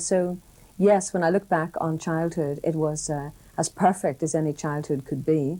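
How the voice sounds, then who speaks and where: A woman talks in a Northern Irish accent at a moderate pace. Her voice is fairly low in pitch, with a dark, mellow tone and ordinary pitch variation. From Northern Ireland. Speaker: broadcaster. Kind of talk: interview answer.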